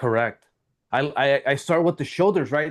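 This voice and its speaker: Against a quiet background, a man with a plain, everyday voice speaks at a fairly high pitch with ordinary pitch variation. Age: 40s. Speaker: sales trainer. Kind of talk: workshop teaching.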